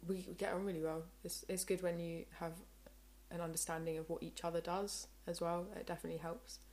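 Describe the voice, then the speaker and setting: Speaking at a moderate pace, a woman has a plain, everyday voice. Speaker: singer-songwriter. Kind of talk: casual interview chat.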